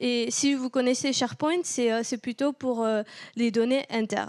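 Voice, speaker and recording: In a southern French accent, a high-pitched woman talks at a fairly slow pace, the sound dry and close with no echo on a very clean recording with a silent background. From southern France (Toulouse). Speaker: tech company partner strategist, meetup speaker. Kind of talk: technical conference talk. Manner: hesitant, many fillers.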